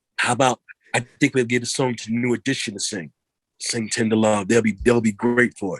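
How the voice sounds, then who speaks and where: Medium-pitched male speech in a New York accent, fairly even in intonation, with a dry, close sound and no echo. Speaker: R&B singer. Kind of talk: interview. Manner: fast; halting, repeats words.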